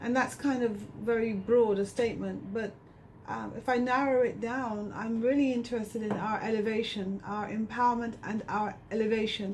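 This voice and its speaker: A woman's fairly high, monotone, flat voice at a moderate pace, with audible room echo and noticeable background noise. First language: not English. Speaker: researcher and community educator. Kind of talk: radio interview.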